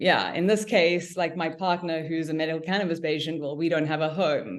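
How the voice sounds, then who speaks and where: A South African accent, with audible room echo. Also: woman. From South Africa, Cape Town. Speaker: cannabis business owner. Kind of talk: podcast interview. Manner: halting.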